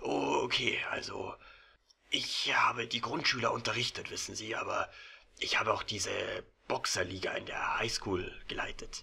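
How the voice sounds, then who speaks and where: A man whispers in a raspy, put-on character voice at a moderate pace. He leaves long, frequent pauses. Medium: audio drama. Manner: warm, chatty, hesitant fillers.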